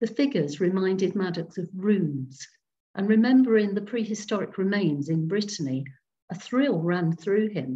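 A woman speaks in a gentle, warm, dark and mellow tone with lively intonation. Her voice is somewhat breathy, and the background is quiet. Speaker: storyteller. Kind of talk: reading aloud ghost story to a Zoom group. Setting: video call. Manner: slow, dramatic, hushed suspense with character voices; gentle, warm storyteller. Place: home room. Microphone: webcam.

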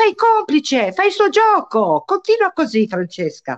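A woman talks at a very slow pace with very wide pitch swings. The background is quiet. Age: 60s. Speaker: mother of a deceased young man, guest; guest. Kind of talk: interview on live stream. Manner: animated. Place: home room. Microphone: video call.

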